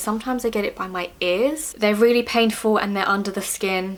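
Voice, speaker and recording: A woman speaks in an unremarkable speaking voice. Her medium pitch holds fairly even intonation. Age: 30s. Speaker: beauty vlogger sharing personal health experience. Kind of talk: casual Q&A monologue to camera. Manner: casual, with fillers and self-corrections.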